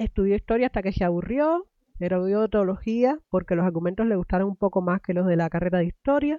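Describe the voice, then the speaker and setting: Talking at a very fast pace with lively intonation, a woman is heard in a dry, close sound with no echo. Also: medium pitch for a woman. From Cuba. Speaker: podcast host. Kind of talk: interview podcast.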